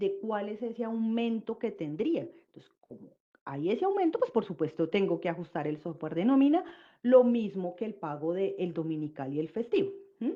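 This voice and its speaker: A woman is speaking. Her pitch sits fairly high. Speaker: labor law presenter. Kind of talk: webinar presentation. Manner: fast.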